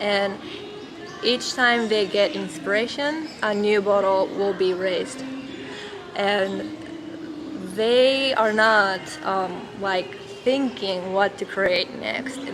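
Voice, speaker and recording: Over noticeable background noise and audible room echo, a woman in a Japanese accent talks at a very slow pace with long, frequent pauses, a medium pitch and ordinary pitch variation. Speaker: spiritual teacher. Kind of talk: vlog monologue. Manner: halting, many fillers.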